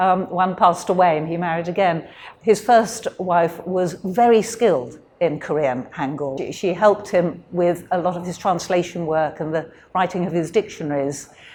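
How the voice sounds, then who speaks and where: A woman's fairly low voice in a British accent, at a moderate pace with ordinary pitch variation. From UK. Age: 70s. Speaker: interviewee, descendant of a missionary. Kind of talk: interview. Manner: hesitant, many fillers.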